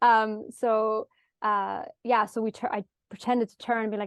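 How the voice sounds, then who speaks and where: Woman with an Irish accent, at a moderate pace. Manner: gets extremely high-pitched when excited.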